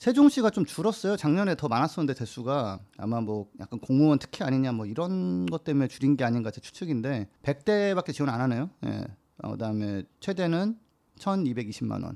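On a very clean recording with a silent background, a man with a medium pitch and a dark, mellow tone speaks at a fairly quick pace with very wide pitch swings. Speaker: climate campaigner. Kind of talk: casual chat.

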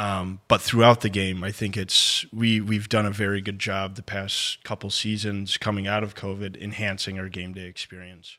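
At a moderate pace, a man with a fairly low pitch and a bright, sharp tone speaks in a monotone, flat intonation, his loudness swinging widely, on a very clean recording with a silent background. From Flint, Michigan. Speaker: sports marketing director. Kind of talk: casual chat. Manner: halting, many ums.

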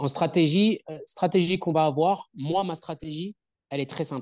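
The man's voice has ordinary pitch variation and a dry, close sound with no echo, set against a quiet background. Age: 30s. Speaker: strength and conditioning coach. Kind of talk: interview. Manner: talkative.

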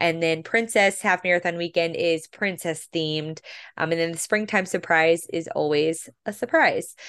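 A woman speaks in an unremarkable speaking voice, fairly low in pitch, at a moderate pace. Her intonation stays fairly even against a quiet background. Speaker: podcast host. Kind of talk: casual chat.

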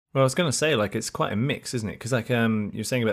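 Speaking in a southern British accent, a man uses ordinary pitch variation. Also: very clean recording, silent background. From London and Essex, England. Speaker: podcast host. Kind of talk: casual interview.

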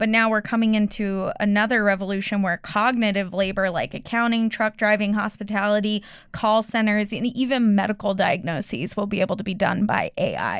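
A woman talks at a fairly quick clip with hardly any pauses, her pitch medium and her intonation fairly even. It is an ordinary speaking voice. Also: very clean recording, silent background. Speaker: student. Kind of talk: casual chat.

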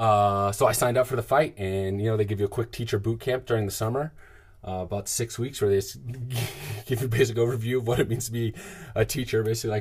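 Somewhat breathy, a man races along at a very fast pace with fairly even intonation. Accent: American. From US South, suburban Atlanta, Georgia. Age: 30s. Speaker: podcast host. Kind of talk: personal monologue. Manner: casual, halting with fillers.

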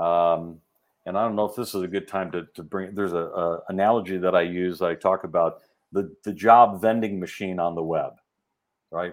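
In a very clean recording with a silent background, a man with an American accent talks at a moderate pace, his pitch very deep and low and his intonation fairly even. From Chicago suburbs, US Midwest. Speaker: executive recruiter and behavioral scientist. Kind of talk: interview.

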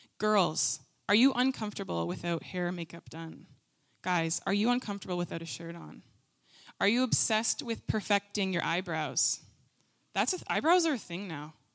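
With an ordinary speaking voice at medium pitch, a woman talks at a moderate pace with lively intonation and big swings in loudness. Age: 20s. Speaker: youth ministry leader. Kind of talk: sermon. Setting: stage with audience.

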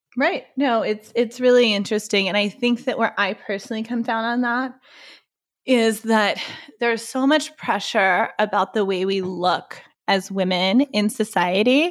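An unremarkable speaking voice with an American accent moves at a moderate pace with ordinary pitch variation, recorded very cleanly against a silent background. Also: woman, fairly high pitch for a woman. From Texas (Waco). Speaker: podcast co-host. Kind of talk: casual chat. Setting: in-person recording in a living room.

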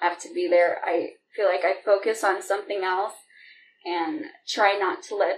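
A woman with an American accent speaks at a moderate pace and a fairly high pitch. Her voice has very wide pitch swings. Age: 20s. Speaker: caregiver and student. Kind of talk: interview conversation.

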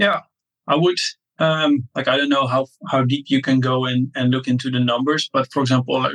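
A man speaks at a medium pitch with a Dutch accent. The sound is dry and close, without any echo. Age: 30s. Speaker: SaaS entrepreneur. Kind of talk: interview.

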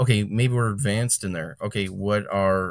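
A man with an unremarkable speaking voice, fairly low pitch, fairly even intonation and moderate pace, in a very clean recording with a silent background. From Chicago area, Illinois (Calumet City). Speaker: lawn care business owner and podcaster. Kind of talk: casual interview.

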